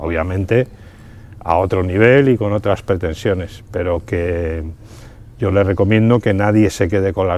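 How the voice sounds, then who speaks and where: A man with a very deep, low voice speaks fairly slowly, his pitch varying in an ordinary way. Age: 60s. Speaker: amateur rally driver. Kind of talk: interview. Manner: halting, many fillers and repetitions.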